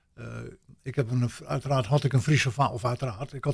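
On a very clean recording with a silent background, a man with a fairly high, somewhat breathy voice talks at a fairly quick pace with fairly even intonation. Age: 70s. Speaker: NLP trainer and coach. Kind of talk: radio interview.

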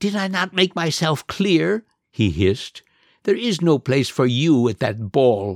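Putting on a character voice, a man speaks at a fairly slow pace and a fairly high pitch with very wide pitch swings and hissing, on a very clean recording with a silent background. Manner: hissing, menacing.

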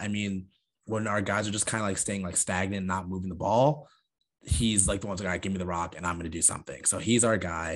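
A man's normal speaking voice, a normal speaking voice, fairly low in pitch, with an American accent, fairly even intonation and a fairly quick pace against a quiet background. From Long Island, New York. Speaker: sports podcast co-host. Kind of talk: casual chat.

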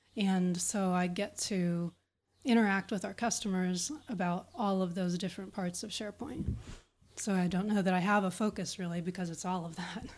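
A woman with an American accent speaks at a moderate pace in an ordinary speaking voice, her medium pitch held to fairly even intonation. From Pittsburgh, Pennsylvania, US. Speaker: SharePoint consultant and speaker. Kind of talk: interview chat.

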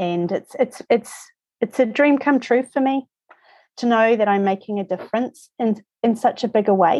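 With a New Zealand accent, a woman talks at a moderate pace in a fairly high pitch, her dark, mellow tone showing ordinary pitch variation in a dry, close sound with no echo. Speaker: lymphatic therapy practitioner. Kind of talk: interview conversation.

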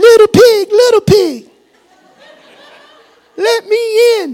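Using a put-on character voice, a man talks at a very slow pace with extremely high pitch. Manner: storytelling, acted out.

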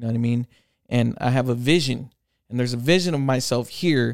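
Recorded very cleanly against a silent background, a man speaks in a plain, everyday voice at a medium pitch with ordinary pitch variation. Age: 30s. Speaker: tattoo artist. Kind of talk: casual chat.

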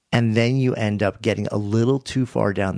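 This man has a plain, everyday voice and speaks at a moderate pace, recorded with a dry, close sound and no echo. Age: 50s. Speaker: author and podcaster. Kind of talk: interview conversation.

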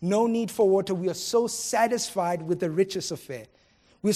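The pitch in this natural reading voice rises and falls in an ordinary way.

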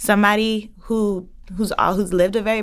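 A woman's fairly high voice with ordinary pitch variation, an unremarkable speaking voice, on a very clean recording over a silent background. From New York City, the Bronx. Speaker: housing policy innovation specialist. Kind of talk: interview.

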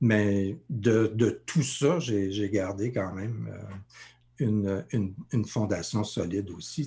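A man's fairly low, somewhat breathy voice with ordinary pitch variation, in a very clean recording with a silent background. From Sudbury region, northern Ontario, Franco-Ontarian. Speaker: life coach. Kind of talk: interview. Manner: halting, many repetitions.

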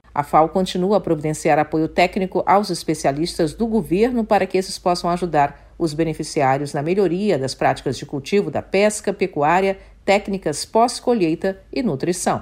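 Speaking at a moderate pace with hardly any pauses, a woman has an unremarkable speaking voice, fairly low in pitch, with ordinary pitch variation. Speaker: news anchor. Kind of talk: news bulletin reading, formal broadcast. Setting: studio. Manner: formal, measured, even-paced newsreader delivery.

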